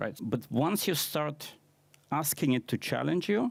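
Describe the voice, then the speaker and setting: A man with a non-native accent and lively intonation speaks at a moderate pace in a dry, close sound with no echo. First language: not English. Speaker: conference speaker, AI consultant. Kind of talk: conference talk.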